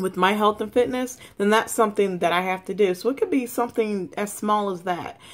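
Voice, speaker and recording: The woman talks at a moderate pace. Her intonation stays fairly even. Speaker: vlogger. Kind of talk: motivational casual vlog talk. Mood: encouraging, earnest. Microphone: webcam.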